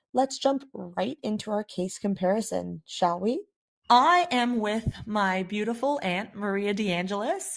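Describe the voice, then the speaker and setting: A woman with a normal speaking voice, fairly high pitch, lively intonation and a Canadian accent, at a fairly slow pace. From Canada. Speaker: patient advocate. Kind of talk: scripted narration; interview.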